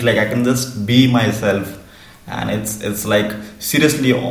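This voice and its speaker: With noticeable background noise around him, a man talks at a fairly slow pace. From India. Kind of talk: interview answer. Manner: stuttering with repetitions and blocks.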